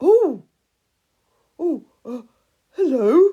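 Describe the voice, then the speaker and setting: Very wide pitch swings run through a put-on character voice. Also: woman, high pitch for a woman. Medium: read story. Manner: nervous, stammering.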